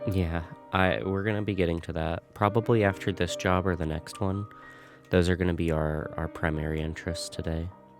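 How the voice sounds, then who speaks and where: A man speaks in a very deep, low voice with ordinary pitch variation and a relaxed, calm tone, music playing in the background. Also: fairly quick pace. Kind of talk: gameplay commentary.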